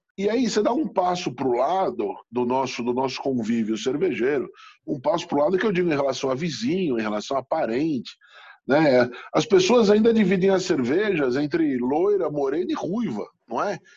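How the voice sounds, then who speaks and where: Very wide pitch swings in a man's fairly high voice, moderate in pace, over a quiet background. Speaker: chef and beer specialist. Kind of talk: casual interview.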